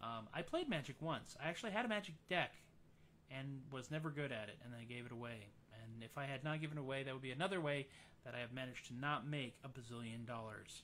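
A man's very fast speech in a bright, sharp tone, with ordinary pitch variation over light background noise. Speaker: musician hosting a live stream. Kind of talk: casual live-stream chat. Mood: jovial, self-deprecating. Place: home room. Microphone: studio mic.

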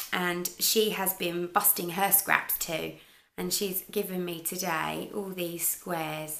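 A woman with a normal speaking voice talks at a fairly slow pace with fairly even intonation. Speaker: crochet podcaster. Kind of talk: casual vlog chat. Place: kitchen. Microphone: camera far.

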